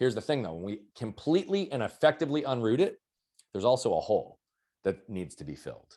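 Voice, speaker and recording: A man speaks at a very fast pace in a dark, mellow tone with vocal fry. His pitch swings very widely, and his loudness swings greatly. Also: medium pitch for a man. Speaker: mindset and performance coach. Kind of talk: podcast interview.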